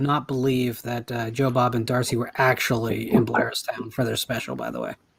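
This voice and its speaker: This man talks at a fairly quick pace. He speaks with an American accent. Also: hardly any pauses, big swings in loudness. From New Jersey. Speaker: horror author. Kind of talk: casual chat. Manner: animated.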